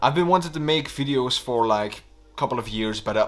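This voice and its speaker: A man with a Flemish accent and lively intonation. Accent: Flemish Dutch accent in English. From Belgium (Flanders). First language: Dutch. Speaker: YouTuber. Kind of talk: vlog monologue.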